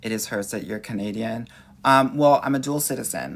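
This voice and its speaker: In a Southern Californian accent, a man talks very fast with an animated tone, vocal fry and ordinary pitch variation. The recording is very clean, with a silent background. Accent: Valley girl. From Los Angeles, US West Coast. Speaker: dating coach. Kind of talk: live-stream Q&A reading viewer comments. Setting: livestream.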